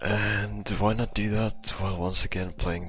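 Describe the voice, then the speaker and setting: Music plays in the background while the speaker talks at a moderate pace with very wide pitch swings. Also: man. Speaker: gaming content creator. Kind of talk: casual rambling talk over gameplay.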